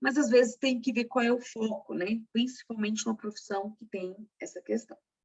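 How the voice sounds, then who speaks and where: A woman speaks at a moderate pace in an unremarkable speaking voice, pitched fairly high, with fairly even intonation. Her loudness swings a lot. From Brazil, northeastern family. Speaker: secretarial workshop instructor and teacher. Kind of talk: workshop lecture.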